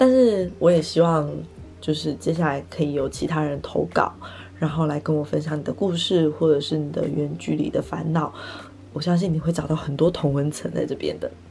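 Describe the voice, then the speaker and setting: A woman's very deep, low voice, relaxed in tone, at a moderate pace with ordinary pitch variation. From Taiwan, Taipei. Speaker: podcaster and content creator. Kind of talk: casual solo chat. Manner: relaxed, laughs often.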